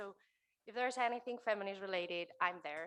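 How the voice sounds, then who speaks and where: A fairly quick voice in a Spanish accent has a bright, sharp tone and fairly even intonation. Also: woman. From Spain. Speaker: keynote speaker, author and entrepreneur. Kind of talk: keynote talk. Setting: stage with live audience, also streamed.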